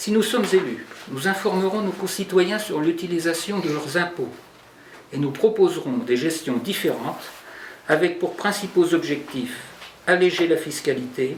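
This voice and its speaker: Against noticeable background noise and audible room echo, a man with a high pitch and ordinary pitch variation talks at a fairly slow pace with long, frequent pauses. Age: 60s. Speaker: political candidate, general practitioner. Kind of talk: press conference statement. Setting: press conference. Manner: formal.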